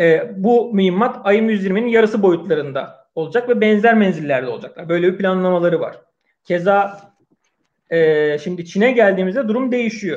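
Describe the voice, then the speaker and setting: Speaking with a high voice at a moderate pace, a man lets his pitch vary in an ordinary way. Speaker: podcast host. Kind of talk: live online discussion.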